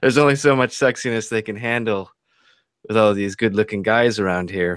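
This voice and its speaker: At a fairly quick pace, a man with a fairly low pitch talks with ordinary pitch variation. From US Pacific Northwest. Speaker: YouTuber hosting a livestream. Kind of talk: casual group chat. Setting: video call livestream.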